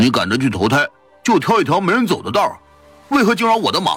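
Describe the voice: A man's shouting, put-on character voice at a fairly high pitch, with a fairly bright tone, a slightly husky edge, very wide pitch swings, and a fast pace over faint music in the background.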